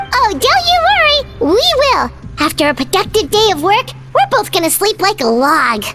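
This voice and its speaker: In a put-on character voice, a female-sounding speaker goes squeaky at an extremely high pitch, keeping a moderate pace while clear music plays in the background. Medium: actual play. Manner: soft, caring.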